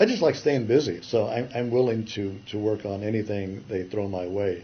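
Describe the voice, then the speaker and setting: Somewhat breathy and fairly low in pitch, a man with an American accent speaks at a moderate pace with ordinary pitch variation. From California. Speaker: retired animation artist. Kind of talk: interview. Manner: halting.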